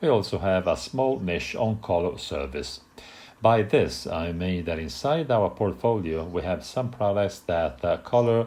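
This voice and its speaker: A man with an Italian accent at a fairly slow pace, with very wide pitch swings. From Italy. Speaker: hair colour technician. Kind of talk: product presentation. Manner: hesitant, many filler sounds.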